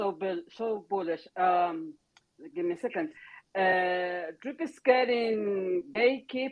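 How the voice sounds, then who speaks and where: A woman's very slow, lively intonation at medium pitch, in a non-native accent. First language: not English. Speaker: crypto content creator. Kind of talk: casual chat; reading aloud. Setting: online audio chat room. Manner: halting.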